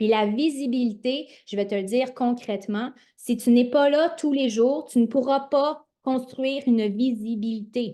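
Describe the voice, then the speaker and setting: Over a quiet background, a dark, mellow voice with a Quebec accent moves at a fairly slow pace. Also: woman, high pitch for a woman, ordinary pitch variation. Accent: Québécois French. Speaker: network marketing coach. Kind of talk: motivational livestream talk. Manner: animated.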